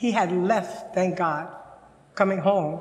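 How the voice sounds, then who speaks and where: Speaking very slowly in an American accent, a woman is heard with audible room echo around her voice. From US South, Louisiana. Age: 80s+. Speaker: senior storyteller. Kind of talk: personal narrative storytelling. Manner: halting at times.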